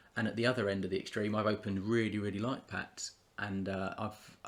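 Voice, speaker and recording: A man with a British accent talks at a very fast pace, his pitch fairly low and his intonation monotone and flat. The recording is very clean, with a silent background. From UK. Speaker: YouTuber, trading card collector. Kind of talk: casual vlog commentary. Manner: halting, many fillers and repetitions.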